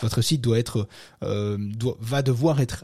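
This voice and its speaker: Very slow speech in a dark, mellow tone comes through a very clean recording with a silent background. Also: man. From French-speaking country other than France. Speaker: podcast host on SEO. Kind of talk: casual talk show. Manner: hesitant, many fillers.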